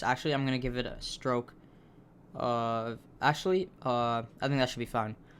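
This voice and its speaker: A man's intonation stays fairly even at a medium pitch, and his pace is moderate. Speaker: coding tutorial youtuber. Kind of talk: tutorial. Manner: halting, with restarts and fillers.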